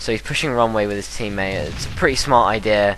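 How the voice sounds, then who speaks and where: A man's very fast speech in a British accent, fairly low in pitch with ordinary pitch variation, over noticeable background noise. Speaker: gaming commentator. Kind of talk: gameplay commentary. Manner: casual, hesitant with fillers.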